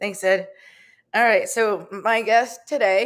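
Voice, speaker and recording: A woman's medium-pitched voice comes through on a very clean recording against total silence. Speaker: radio show host. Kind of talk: live radio talk show.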